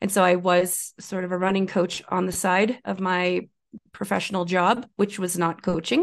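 The voice is flat and monotone, with a Canadian accent. It moves at a moderate pace over a quiet background. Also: woman, medium pitch for a woman. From Northern Ontario, Canada. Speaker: endurance coach and exercise physiologist. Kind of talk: interview.

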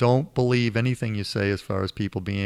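Recorded very cleanly with a silent background and a dry, close sound with no echo, a man with a Boston accent speaks with fairly even intonation. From Boston area. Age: 60s. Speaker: financial advisor, former futures trader. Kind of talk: interview. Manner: halting, frequent repetitions.

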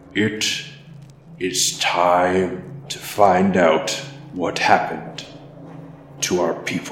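A man uses a booming put-on character voice at a very deep, low pitch. He speaks at a very slow pace with a clear echo. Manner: quiet, regal, commanding.

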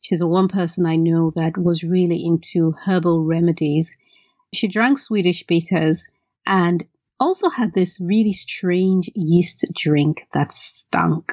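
A woman's fairly low, slightly mellow voice at a slow pace with ordinary pitch variation

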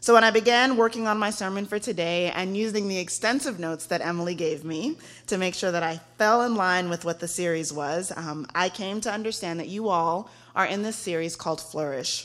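A woman with an American accent speaks at a fairly quick pace in an unremarkable speaking voice, her pitch medium and its variation ordinary. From Texas. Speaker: guest preacher, young adult ministry director. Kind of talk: sermon. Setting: church.

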